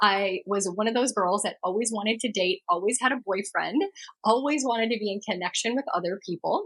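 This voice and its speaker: A fairly high-pitched woman's voice at a fairly quick pace, with ordinary pitch variation and a dry, close sound with no echo. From Germany and the United States. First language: German. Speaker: astrologer and podcast host. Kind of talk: personal story monologue.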